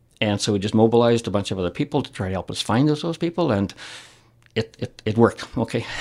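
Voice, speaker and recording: Talking at a very fast pace, a man with a Canadian accent has a medium pitch and lively intonation. The recording is very clean, with a silent background. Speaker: retired business founder and philanthropist. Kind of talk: casual interview. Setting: radio or podcast studio. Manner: passionate, animated.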